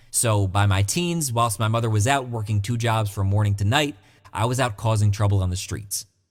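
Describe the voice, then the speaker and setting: A somewhat breathy man talks at a very fast pace, fairly low in pitch with ordinary pitch variation, in a very clean recording with a silent background. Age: 20s. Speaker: online money-making promoter. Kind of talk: sales pitch.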